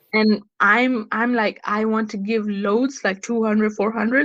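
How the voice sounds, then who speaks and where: Delivered at a moderate pace, this is an unremarkable speaking voice. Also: woman. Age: 20s. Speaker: podcast host. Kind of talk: casual chat.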